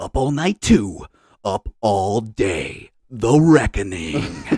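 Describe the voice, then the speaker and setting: A man puts on a character voice at a medium pitch, speaking at a very slow pace with very wide pitch swings. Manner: dramatic.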